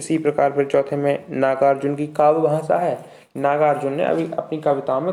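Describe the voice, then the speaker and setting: A man talks in a fairly high pitch with ordinary pitch variation. His tone is dark and mellow. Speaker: online tutor for university exams. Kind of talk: tutorial. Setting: live stream.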